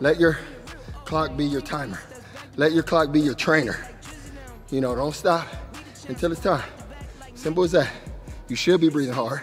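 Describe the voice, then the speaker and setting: With faint music in the background, a man speaks at a fairly quick pace with ordinary pitch variation. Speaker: fitness trainer. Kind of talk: workout coaching. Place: gym.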